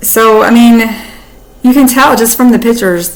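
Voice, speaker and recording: With an American accent, a woman talks in an animated tone at a fairly high pitch. Noticeable background noise and audible room echo are present. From US South. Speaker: YouTuber. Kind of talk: casual commentary.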